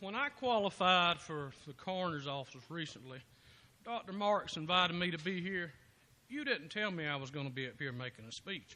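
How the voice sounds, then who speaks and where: A man projects a raised, high voice at a moderate pace. His pitch swings very widely. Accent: Georgia. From US South (south Georgia). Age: 50s. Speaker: political candidate, former state trooper. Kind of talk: impromptu campaign speech at party meeting. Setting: local party meeting.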